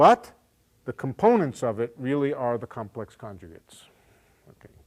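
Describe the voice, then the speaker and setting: With an ordinary speaking voice at a medium pitch, a man uses lively intonation and big swings in loudness, recorded very cleanly against a silent background with a dry, close sound and no echo. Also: moderate pace. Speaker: physics professor. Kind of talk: lecture.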